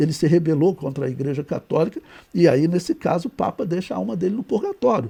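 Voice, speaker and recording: Talking at a fairly quick pace, a man has a high pitch and a dark, mellow tone. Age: 60s. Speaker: Bible teacher / preacher. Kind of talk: lecture. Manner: conversational, frequent fillers.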